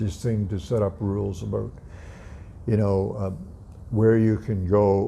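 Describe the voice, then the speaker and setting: A man with a fairly low pitch and a dark, mellow tone speaks at a fairly slow pace with fairly even intonation. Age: 80s+. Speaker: atheist YouTuber. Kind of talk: casual vlog monologue. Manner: halting.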